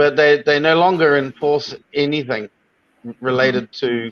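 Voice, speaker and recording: A man speaks with a New Zealand accent and a fairly high pitch. The sound is dry and close, with no echo. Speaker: online show host. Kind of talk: interview. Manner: hesitant.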